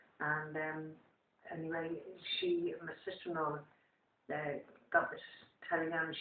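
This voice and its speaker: The voice belongs to a woman. It sits very deep and low. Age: 80s+. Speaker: war widow. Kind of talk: interview answer. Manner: hesitant.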